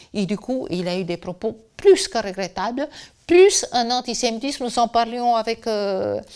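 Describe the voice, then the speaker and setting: A woman speaks at a fairly slow pace with a fairly high pitch and very wide pitch swings, in a very clean recording with a silent background. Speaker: biographer. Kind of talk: interview. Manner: hesitant, with many fillers.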